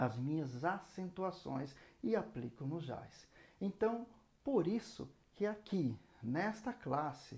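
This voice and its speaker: High-pitched with very wide pitch swings, a man speaks at a very slow pace with long, frequent pauses. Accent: Brazilian. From Brazil. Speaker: saxophone teacher. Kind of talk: lesson.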